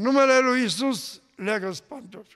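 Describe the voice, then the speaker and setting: A man is speaking. The background is quiet. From Romania, Mureș county; Romania. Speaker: pastor. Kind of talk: testimony. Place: church. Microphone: podium.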